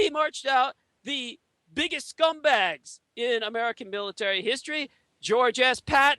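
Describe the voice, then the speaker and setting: A man projects a raised voice at an extremely high pitch, bright and sharp in tone, at a moderate pace, with a dry, close sound and no echo. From Taiwan. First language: Chinese. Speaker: conspiracy theorist guest. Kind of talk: interview monologue. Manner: hesitant with fillers.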